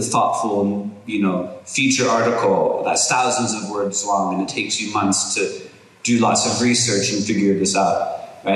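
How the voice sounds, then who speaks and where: A man speaks at a fairly slow pace with fairly even intonation. There is audible room echo. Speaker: university lecturer. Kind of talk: lecture. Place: hall. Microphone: podium.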